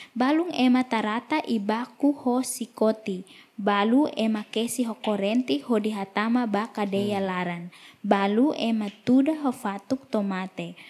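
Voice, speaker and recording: Somewhat breathy, a woman speaks at a fairly high pitch. Her pace is moderate and her pitch variation ordinary. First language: Tetum. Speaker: interpreter. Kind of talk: sermon.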